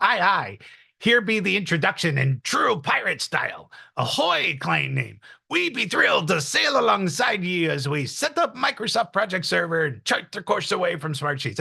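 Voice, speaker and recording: This man uses a put-on character voice at a high pitch. He speaks at a moderate pace. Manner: bad, exaggerated.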